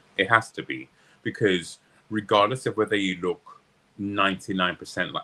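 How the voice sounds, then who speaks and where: A man's very deep, low voice. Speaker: opera, drag and cabaret performer. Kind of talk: interview answer.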